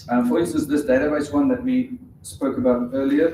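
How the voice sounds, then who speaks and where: A man speaks at a moderate pace in a South African accent. Room echo is audible. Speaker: conference speaker. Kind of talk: technical talk with live demo. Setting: conference stage with audience. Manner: casual, hesitant with fillers.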